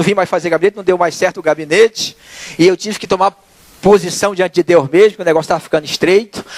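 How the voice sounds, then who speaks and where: Talking at a very fast pace with lively intonation, a man is heard in a dry, close recording with no echo and noticeable background noise. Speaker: lay preacher. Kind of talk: sermon. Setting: church.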